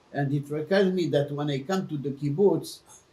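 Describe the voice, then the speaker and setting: A man's somewhat breathy voice, fairly high in pitch, dark and mellow in tone, with ordinary pitch variation. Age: 80s+. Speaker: interviewee sharing family history. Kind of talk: personal interview. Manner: halting.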